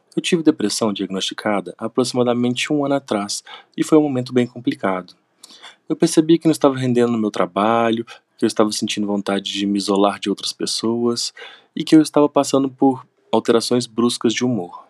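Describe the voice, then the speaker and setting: A man talks in a normal speaking voice at a fairly quick pace with ordinary pitch variation, the sound dry and close with no echo. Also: medium pitch for a man. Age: 30s. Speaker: university lecturer and veterinarian. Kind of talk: testimony.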